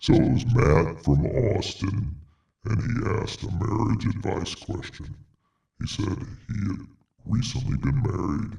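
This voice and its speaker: Putting on a character voice, a man speaks fairly slowly at a fairly low pitch with lively intonation. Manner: silly and hard to understand.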